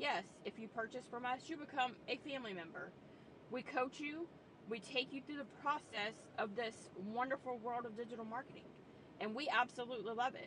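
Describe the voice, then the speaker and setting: A woman's high voice at a fairly quick pace, dry with no echo, over noticeable background noise. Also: ordinary pitch variation. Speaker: online business coach. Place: car. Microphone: phone near.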